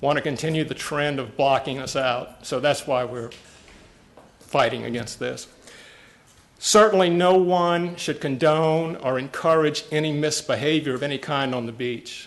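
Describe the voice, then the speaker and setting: With a normal speaking voice, a man of fairly high pitch talks at a moderate pace, with ordinary pitch variation. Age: 60s. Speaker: public commenter at county meeting. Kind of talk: public comment speech. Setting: county commission meeting room.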